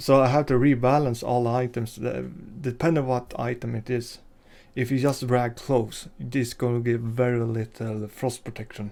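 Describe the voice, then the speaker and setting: A man with a Swedish accent speaks at a moderate pace in a dark, mellow tone with monotone, flat intonation. The recording is very clean with a silent background. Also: medium pitch for a man. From Sweden. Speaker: game modder and artist. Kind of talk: video tutorial / devlog. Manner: halting, many fillers.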